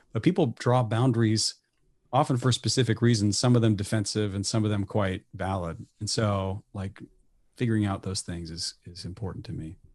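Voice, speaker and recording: Against a quiet background, a man with an American accent speaks at a fairly low pitch, somewhat breathy, with big swings in loudness. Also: ordinary pitch variation, moderate pace. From US Midwest. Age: 40s. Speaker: jazz professor and pianist. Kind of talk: casual chat.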